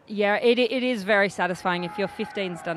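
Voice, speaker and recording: Crowd noise fills the background as a woman talks. She speaks very fast with an Australian accent. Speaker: rugby player and co-commentator. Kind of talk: live commentary.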